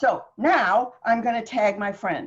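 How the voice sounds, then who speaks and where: Animated in tone, a woman speaks with a somewhat breathy voice. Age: 70s. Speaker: author and writing guest. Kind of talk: interview conversation.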